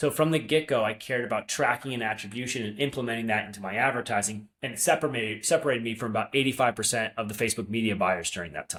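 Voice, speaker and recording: Speech comes at a very fast pace with hardly any pauses, in an American accent with ordinary pitch variation. The recording is very clean, with a silent background. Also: man, medium pitch for a man. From upstate New York. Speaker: marketing agency founder. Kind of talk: interview.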